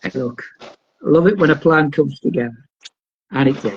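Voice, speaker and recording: Somewhat breathy, the voice carries a Geordie accent. Its pitch variation is ordinary. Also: man. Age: 50s. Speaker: wrestling promoter. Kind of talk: casual chat.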